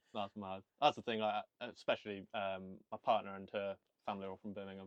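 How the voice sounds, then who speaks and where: A man with a Welsh accent talks at a fairly quick pace in a fairly low pitch, his intonation monotone and flat. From Wales. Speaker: podcast host. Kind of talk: casual chat.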